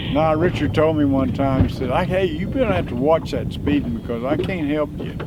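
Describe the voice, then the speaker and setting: With a Texan accent, a man with a fairly high pitch and lively intonation speaks at a moderate pace with hardly any pauses, amid noticeable background noise and audible room echo. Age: 80s+. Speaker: fisherman. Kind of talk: casual chat.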